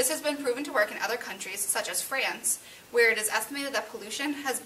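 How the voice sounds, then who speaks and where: Light background noise sits behind a woman with a fairly high pitch who speaks at a very fast pace with ordinary pitch variation. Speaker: student playing political candidate. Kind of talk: staged mock debate for class. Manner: formal. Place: classroom. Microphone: camera far.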